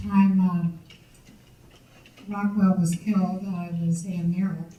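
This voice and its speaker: A woman talks at a fairly slow pace in a dark, mellow, somewhat breathy tone, her intonation monotone and flat, with long, frequent pauses and audible room echo. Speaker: audience member, former police records supervisor. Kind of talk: audience Q&A remarks at a history talk. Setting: audience at a public lecture. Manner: halting.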